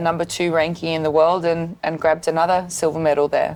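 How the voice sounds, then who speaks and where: A woman's fairly low, monotone voice with flat intonation and an Australian accent. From Sydney, Australia. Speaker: boxer. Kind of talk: interview. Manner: hesitant, many fillers.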